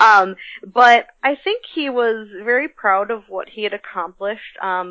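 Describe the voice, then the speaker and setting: Speaking at a fairly slow pace, a woman with an American accent has an ordinary speaking voice and a fairly high pitch. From US Midwest. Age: 30s. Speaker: comics blogger and writer. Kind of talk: interview.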